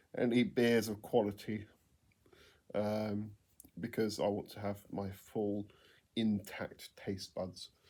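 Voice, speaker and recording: In an English accent, a man speaks at a very slow pace with long, frequent pauses. His dark, mellow tone stays monotone, with flat intonation. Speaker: home brewer vlogger. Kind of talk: casual vlog monologue. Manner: hesitant with many ums.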